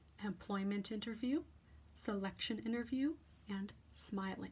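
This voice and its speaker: A woman speaks softly at a fairly slow pace. Her intonation is lively. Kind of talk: ASMR reading of academic text. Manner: soft, quiet, slow.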